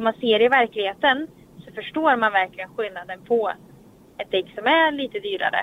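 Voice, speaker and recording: A woman talks at a fairly quick pace with lively intonation and a fairly high pitch. Her loudness swings widely. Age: 20s. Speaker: racing driver and driving instructor. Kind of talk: interview. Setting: in a car.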